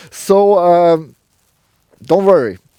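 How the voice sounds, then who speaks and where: A man talks in a strong German accent with a dark, mellow tone. The recording is very clean, with a silent background. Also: dry, close sound with no echo. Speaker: car reviewer, show host. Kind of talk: car review presentation. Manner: halting, many fillers.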